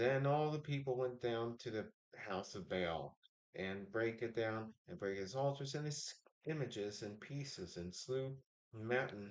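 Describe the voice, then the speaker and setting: A man mumbles at a fairly slow pace. His pitch varies in an ordinary way. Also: medium pitch for a man. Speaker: livestreamer reading the Bible. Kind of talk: reading aloud. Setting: live stream with chat. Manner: mumbling.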